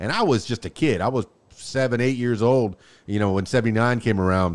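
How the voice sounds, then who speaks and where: In a very clean recording with a silent background, a man with a normal speaking voice talks at a fairly quick pace and a medium pitch. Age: 50s. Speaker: podcast host. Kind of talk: interview.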